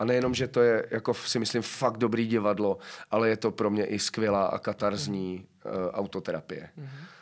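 This is a man speaking at a fairly quick pace in a medium pitch with ordinary pitch variation. The recording is very clean, with a silent background. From Czechia, South Moravia near Brno. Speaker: actor. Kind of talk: casual interview chat. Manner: halting, many fillers.

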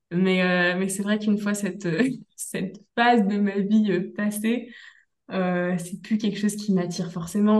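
Somewhat breathy and monotone, with flat intonation, a woman speaks at a fairly slow pace amid audible room echo. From Brittany, France. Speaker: instructional designer, entrepreneur. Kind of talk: interview, personal story.

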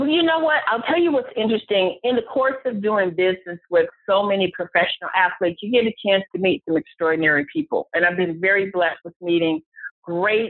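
Using a plain, everyday voice, a woman with an American accent speaks at a medium pitch with lively intonation. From Cleveland, Ohio. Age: 40s. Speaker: private investigator. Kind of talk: interview.

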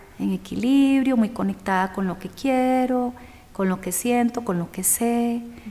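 A woman speaks with a high pitch and ordinary pitch variation. Noticeable background noise is present. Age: 40s. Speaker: yoga and meditation teacher. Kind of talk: interview. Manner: warm, effusive.

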